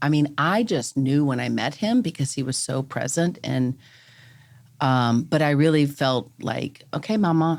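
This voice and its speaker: On a very clean recording with a silent background, a woman with a Southern US accent and a very deep, low pitch speaks at a fairly slow pace with lively intonation. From US South. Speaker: real estate broker. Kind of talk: casual chat.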